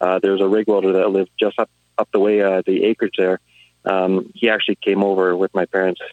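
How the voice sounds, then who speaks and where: Fairly low in pitch, a man with a Canadian accent talks at a very fast pace in a monotone, flat delivery. His loudness stays very even, and the sound is dry and close with no echo. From Alberta, Canada. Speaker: rig welder. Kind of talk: casual chat.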